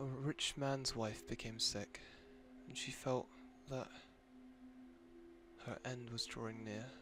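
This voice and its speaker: Soft-spoken and medium-pitched, a man talks at a very slow pace with fairly even intonation and long, frequent pauses. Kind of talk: read story; sleep story.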